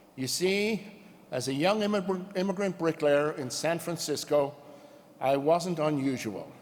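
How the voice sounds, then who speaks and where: With an American accent, a man speaks fairly slowly at a fairly high pitch with ordinary pitch variation. Noticeable background noise and audible room echo surround him. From rural Ireland. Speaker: union president. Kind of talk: convention speech. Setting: stage with audience.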